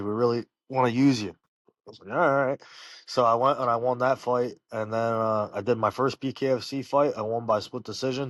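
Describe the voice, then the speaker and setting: With an American accent, the speaker talks at a fairly quick pace with fairly even intonation over a quiet background. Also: man. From Pennsylvania, Bucks County. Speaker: professional fighter. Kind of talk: casual interview. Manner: loud.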